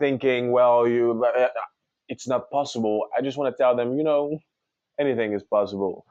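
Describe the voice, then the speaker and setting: A man speaks with a French accent at a moderate pace. His pitch is medium, and it varies in an ordinary way. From Congo. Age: 20s. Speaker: singer. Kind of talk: interview.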